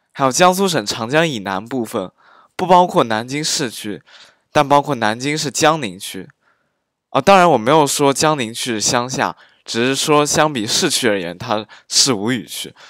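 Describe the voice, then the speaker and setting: This man speaks at a moderate pace in a normal speaking voice, his medium pitch carried by lively intonation over a very clean recording with a silent background. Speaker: amateur dialect teacher. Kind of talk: dialect pronunciation lesson.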